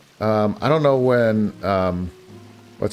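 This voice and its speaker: With music in the background, a man speaks in a fairly low voice with an American accent. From US Northeast, northeastern Pennsylvania. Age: 40s. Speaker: gaming streamer. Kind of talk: casual live-stream chat. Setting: live stream. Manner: halting, many fillers and restarts.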